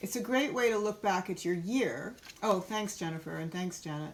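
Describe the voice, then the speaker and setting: A woman talks in a normal speaking voice at a medium pitch. Her intonation is lively and her pace moderate. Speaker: art workshop teacher. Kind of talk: online workshop.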